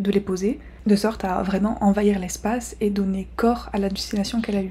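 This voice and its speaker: Soft-spoken and medium in pitch, a woman talks at a moderate pace with fairly even intonation over noticeable background noise. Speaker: art YouTuber. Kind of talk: educational video. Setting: rented apartment. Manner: soft-spoken, quiet.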